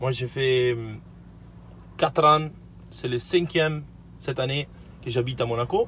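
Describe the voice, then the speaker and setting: A man's medium-pitched voice with a non-native accent, a fairly slow pace, long and frequent pauses, and fairly even intonation. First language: not French (speaking French). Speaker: car vlogger. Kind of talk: casual vlog, car presentation. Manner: halting, hesitant.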